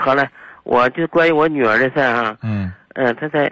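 The pace is moderate. The background is quiet. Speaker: caller, parent. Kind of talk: phone-in call asking for advice. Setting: phone call.

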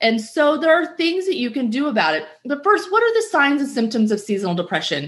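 Over noticeable background noise, a woman speaks in a high voice at a fairly quick pace with very wide pitch swings and hardly any pauses. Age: 40s. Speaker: podcast host and health coach. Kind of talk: solo podcast talk. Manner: casual with fillers.

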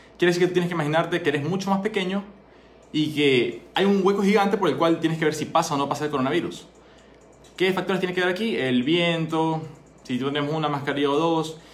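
A man at a high pitch and very fast pace, ordinary pitch variation, music in the background and audible room echo. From Ecuador. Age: 20s. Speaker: doctor and entrepreneur. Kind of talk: solo monologue talk. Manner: conversational.

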